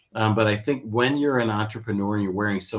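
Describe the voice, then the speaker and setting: Here is a man with an ordinary speaking voice. He talks at a fairly quick pace with ordinary pitch variation. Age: 60s. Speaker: software company founder. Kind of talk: business advice interview. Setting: live stream.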